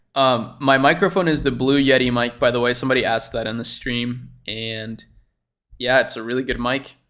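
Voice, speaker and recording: With a Spanish accent and a bright, sharp tone, a man of medium pitch speaks at a fairly quick pace with fairly even intonation on a very clean recording with a silent background. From Chile. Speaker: YouTuber reacting to a dropshipping video. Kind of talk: casual reaction commentary. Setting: livestream. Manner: casual, filler-heavy (um, like).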